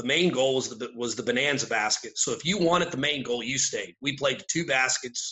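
The delivery has a moderate pace, with hardly any pauses. It is a normal speaking voice with ordinary pitch variation. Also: man, medium pitch for a man. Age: 50s. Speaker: basketball coach and teacher. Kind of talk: casual chat.

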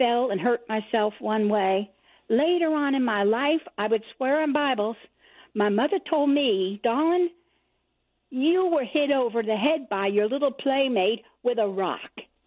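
A woman speaks fairly slowly in an ordinary speaking voice. Her pitch is fairly high and her intonation lively. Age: 60s. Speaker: caller. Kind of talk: call-in to talk radio.

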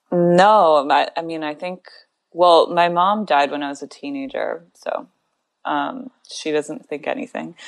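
A woman with a General American accent and an ordinary speaking voice speaks at a fairly low pitch and fairly slow pace, with lively intonation and big swings in loudness. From US Southwest and Midwest (Tucson, Arizona and Grand Rapids, Michigan). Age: 30s. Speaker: writer. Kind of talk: casual chat.

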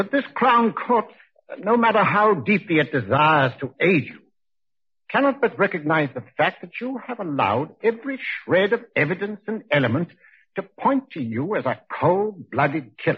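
Using a put-on character voice, a man speaks at a moderate pace with a husky, rough edge, a high pitch, and big pitch swings.

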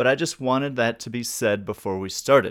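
On a very clean recording with a silent background, a man talks at a fairly quick pace in a normal speaking voice of medium pitch. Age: 40s. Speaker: music podcast host. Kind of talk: casual interview.

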